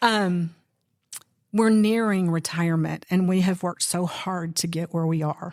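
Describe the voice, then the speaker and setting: Her voice is a plain, everyday voice, fairly low for a woman, with fairly even intonation. The woman speaks at a fairly slow pace. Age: 60s. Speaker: law enforcement educator, budgeting course teacher. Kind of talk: casual chat. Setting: podcast interview.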